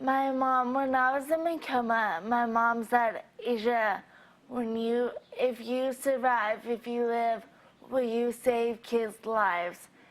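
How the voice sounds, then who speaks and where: Very slow and fairly high in pitch, a woman talks with fairly even intonation in an American accent. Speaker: overdose survivor. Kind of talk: interview testimony. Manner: slow, effortful speech.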